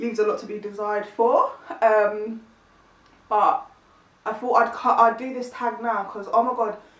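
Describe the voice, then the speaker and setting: A woman with a fairly high voice and ordinary pitch variation talks at a moderate pace, leaving long, frequent pauses, her loudness swinging widely, amid audible room echo and noticeable background noise. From East London. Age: 20s. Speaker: YouTuber. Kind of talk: casual vlog chat. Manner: chatty, filler-heavy.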